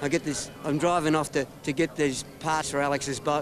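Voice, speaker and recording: The voice has an Australian accent and monotone, flat intonation. Noticeable background noise is present. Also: man. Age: 50s. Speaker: retired motorcycle racer. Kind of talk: interview.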